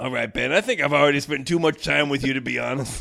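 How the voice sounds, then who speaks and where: A man rattles along at a very fast pace in a raspy, put-on character voice. It sits fairly high, with ordinary pitch variation. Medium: comedy sketch.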